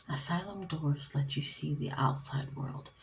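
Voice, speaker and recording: This woman is soft-spoken, with vocal fry. Her pitch is very deep and low. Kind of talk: ASMR story reading for sleep. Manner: soft-spoken, relaxing.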